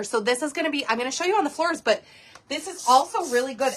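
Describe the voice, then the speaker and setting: Lively intonation over noticeable background noise. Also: woman. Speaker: home cleaning product demonstrator. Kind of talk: live online class demonstration. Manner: fast; casual, chatty.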